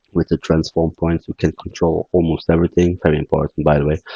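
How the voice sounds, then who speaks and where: A man with a non-native accent speaks in a very deep, low pitch with a dark, mellow tone and fairly even intonation. The sound is dry and close, with no echo. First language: not English. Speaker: game development tutorial creator. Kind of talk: tutorial. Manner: halting.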